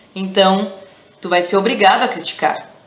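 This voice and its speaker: Speech at a fairly slow pace with a southern Brazilian accent. The room echoes audibly, and background noise is noticeable. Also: woman. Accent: gaúcho (southern Brazilian). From Rio Grande do Sul, southern Brazil. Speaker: teacher. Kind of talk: educational vlog. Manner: casual, with many hesitations.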